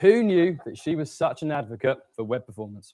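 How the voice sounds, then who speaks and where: A man's fairly quick speech with very wide pitch swings, in a very clean recording with a silent background. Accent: British. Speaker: conference speaker. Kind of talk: tech talk.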